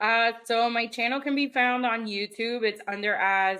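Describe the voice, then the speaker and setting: Spoken at a fairly slow pace with fairly even intonation, the voice has a Spanish accent. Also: woman. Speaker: YouTuber and cosplayer. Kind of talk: casual podcast interview.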